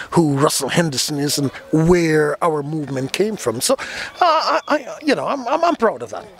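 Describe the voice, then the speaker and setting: Music plays in the background as a man speaks. His voice is fairly high, and his pace is moderate. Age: 60s. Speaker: steel band leader. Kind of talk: interview. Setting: live carnival event venue. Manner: halting, many repetitions.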